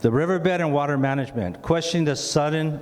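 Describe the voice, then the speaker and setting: Speaking at a fairly quick pace, a man with a fairly high pitch and ordinary pitch variation is heard through audible room echo and noticeable background noise. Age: 70s. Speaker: community resident speaking at town hall. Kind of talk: public comment at town hall; reading a prepared statement aloud. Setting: town hall meeting with audience. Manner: halting with fillers.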